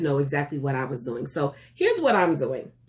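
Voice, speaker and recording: A woman with a very deep, low pitch and an animated tone. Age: 40s. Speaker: vlogger and teacher. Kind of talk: casual vlog.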